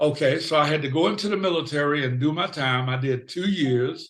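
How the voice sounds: Speaking at a fairly quick pace, a man has a fairly high pitch, a fairly bright tone and ordinary pitch variation.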